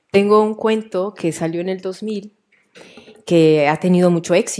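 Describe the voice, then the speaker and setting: Fairly quick speech in a Mexican accent, dark and mellow in tone, with ordinary pitch variation against a quiet background. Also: woman. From Mexico, Jalisco. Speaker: writer. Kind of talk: author talk with students. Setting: live event with school audience. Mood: warm, playful. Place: hall.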